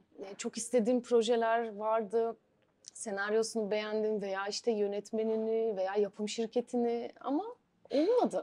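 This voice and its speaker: A woman's dark, mellow tone at a fairly high pitch and a fairly slow pace. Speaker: actress; actress interviewee. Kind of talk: interview. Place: home room.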